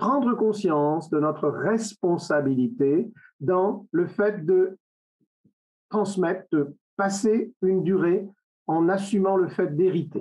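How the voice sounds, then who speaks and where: A man's high-pitched voice with a dark, mellow tone and lively intonation, at a very slow pace. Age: 70s. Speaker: webinar speaker on secularism. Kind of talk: lecture. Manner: halting.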